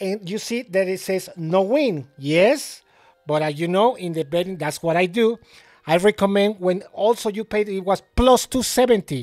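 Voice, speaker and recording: A man speaks with a Mexican accent at a moderate pace and a high pitch. His pitch varies in an ordinary way, and the recording is very clean with a silent background. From Mexico City, Mexico. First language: Spanish. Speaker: sports betting tipster. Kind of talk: casual video monologue. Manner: halting, many fillers.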